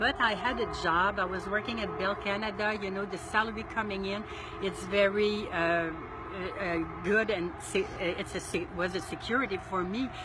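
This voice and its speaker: A woman with a French accent speaks at a medium pitch and a moderate pace, her intonation fairly even. Noticeable background noise and audible room echo surround her voice. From Quebec, Montreal. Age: 60s. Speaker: solo RV traveler. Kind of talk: interview. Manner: halting.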